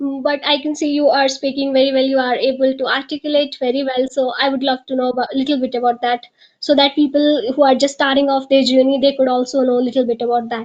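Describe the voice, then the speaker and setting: A woman's high voice with an Indian accent, flat and monotone, very fast with hardly any pauses. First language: Hindi. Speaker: podcast host. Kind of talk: interview.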